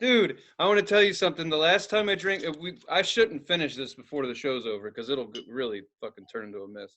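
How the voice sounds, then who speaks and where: Very fast, with hardly any pauses: a man's fairly high pitch with vocal fry, very wide pitch swings and big swings in loudness. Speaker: comedian podcast co-host. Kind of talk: casual chat. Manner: loose, rambling delivery with profanity.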